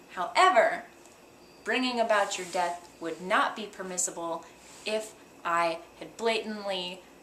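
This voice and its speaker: There is noticeable background noise. A woman speaks at a medium pitch and a fairly slow pace. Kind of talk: teaching explanation. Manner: dry.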